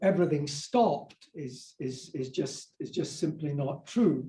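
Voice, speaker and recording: Very slowly, a man with a Scottish accent speaks in a fairly high, somewhat breathy voice with a dark, mellow tone. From Scotland. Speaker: minister and professor of religious studies. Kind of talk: lecture to church adult class.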